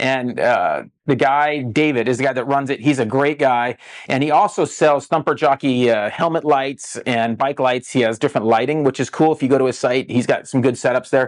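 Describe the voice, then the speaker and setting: A man's medium-pitched voice with fairly even intonation and very even loudness over a quiet background. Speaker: dirt bike tech podcast host. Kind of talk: casual tech podcast talk. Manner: fast talker.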